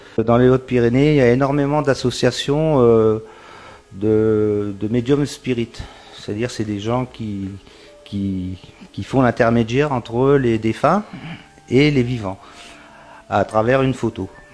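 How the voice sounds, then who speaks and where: Against noticeable background noise, a man speaks fairly slowly at a medium pitch with ordinary pitch variation and long, frequent pauses. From northern France, Pas-de-Calais (Isbergues). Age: 60s. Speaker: magnetic healer. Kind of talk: interview testimony. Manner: hesitant, many fillers and repetitions.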